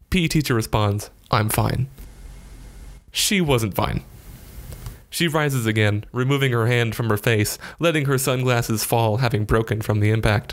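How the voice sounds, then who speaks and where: In an animated, dramatic tone, the speaker keeps a moderate pace and very even loudness, with ordinary pitch variation and long, frequent pauses. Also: man, medium pitch for a man. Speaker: narrator. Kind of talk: dramatic narration of a written diary, second person, wry storytelling. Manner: animated, with comic timing and dramatic emphasis.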